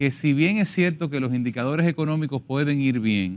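The background is quiet around a male speaker. He moves at a fairly quick pace with lively intonation. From Dominican Republic. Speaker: politician, congressional pre-candidate; candidate. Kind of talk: political panel debate. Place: studio. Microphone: lapel.

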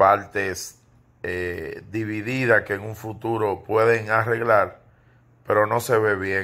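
A man with a fairly low pitch speaks in a bright, sharp tone. His pace is fairly slow and his intonation monotone and flat. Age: 40s. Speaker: entertainment gossip commentator. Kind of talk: casual video commentary monologue. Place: home room. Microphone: phone near.

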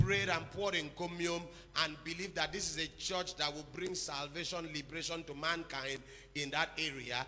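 This man talks at a fairly quick clip with fairly even intonation. Light background noise sits behind him. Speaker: preacher. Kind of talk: sermon. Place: church. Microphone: handheld.

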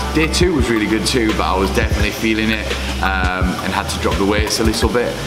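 A man speaks with clear music in the background. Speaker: travelling strength athlete vlogger. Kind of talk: casual vlog chat. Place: home room.

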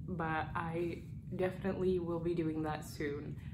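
A soft-spoken woman with a fairly low pitch and fairly even intonation. Noticeable background noise runs behind her voice. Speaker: booktuber. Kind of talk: casual talk to camera. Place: home room.

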